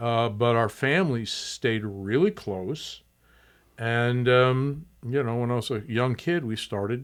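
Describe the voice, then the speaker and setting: A man with an American accent speaks at a moderate pace, his medium pitch showing ordinary pitch variation. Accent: doesn't sound Southwestern. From Tucson, Arizona. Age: 60s. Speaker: museum executive director. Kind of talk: podcast interview.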